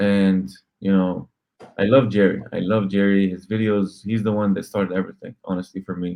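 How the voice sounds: The voice has a dark, mellow tone with vocal fry. It moves at a moderate pace with little pitch movement. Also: man, low pitch for a man.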